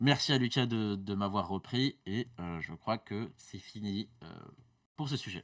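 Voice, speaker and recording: A man's fairly low voice moves with ordinary pitch variation. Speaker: podcast co-host. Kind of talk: podcast segment presentation. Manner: fast; many fillers (euh, du coup).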